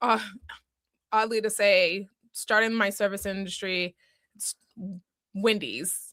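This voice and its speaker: With an American accent, the voice moves at a very slow pace with long, frequent pauses, a bright, sharp tone, fairly even intonation and big swings in loudness. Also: woman, medium pitch for a woman. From Boston area, Massachusetts. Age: 30s. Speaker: small business owner, single mother. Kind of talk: podcast interview.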